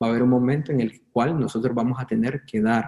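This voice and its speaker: A man with a dark, mellow tone speaks at medium pitch. His intonation stays fairly even. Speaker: bible teacher. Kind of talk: online bible class. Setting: online video class.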